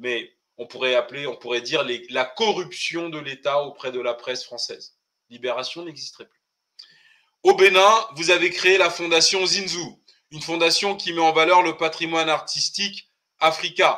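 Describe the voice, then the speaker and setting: Speaking at a moderate pace, a man with a high voice and a bright, sharp tone shows ordinary pitch variation but big swings in loudness. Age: 40s. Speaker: political commentator. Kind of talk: casual group discussion.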